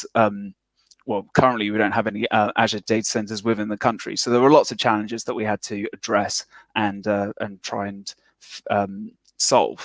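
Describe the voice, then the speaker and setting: Over a silent background in a very clean recording, a man with fairly low pitch talks at a moderate pace in a monotone, flat way, the sound dry and close with no echo. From UK. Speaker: software engineer, conference speaker. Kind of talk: conference talk. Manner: many fillers, um and uh.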